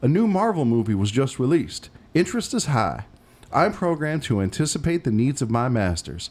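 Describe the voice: Straightforward aloud reading, nothing more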